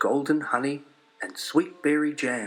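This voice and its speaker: A man's fairly high voice is heard with music in the background. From New Zealand. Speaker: storyteller. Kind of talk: children's story read-along. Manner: calm, steady pace.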